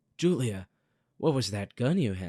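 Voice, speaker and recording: A raspy, put-on character voice. It moves at a moderate pace. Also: man. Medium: read story.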